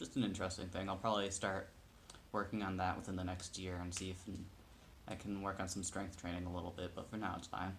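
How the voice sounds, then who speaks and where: A man talks at a very fast pace in a very deep, low, somewhat breathy voice. His intonation is monotone and flat, with audible room echo. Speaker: video blogger. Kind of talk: casual personal update vlog. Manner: hesitant, many fillers.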